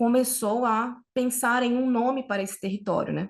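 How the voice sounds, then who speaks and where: A woman speaks with a Brazilian accent against a quiet background. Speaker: researcher. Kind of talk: academic conference talk. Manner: slow; halting.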